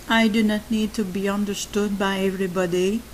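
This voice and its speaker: A woman with a French accent, medium pitch and monotone, flat intonation at a fairly slow pace, over noticeable background noise. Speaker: YouTuber on codependency and narcissistic abuse. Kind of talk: monologue talk. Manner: halting.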